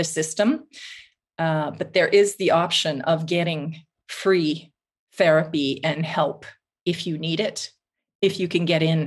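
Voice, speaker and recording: A woman with a Canadian accent has an ordinary speaking voice, fairly low in pitch. She talks at a fairly slow pace with fairly even intonation. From Canada, Vancouver. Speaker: writer and journalist. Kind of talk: interview conversation. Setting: remote call from Finland.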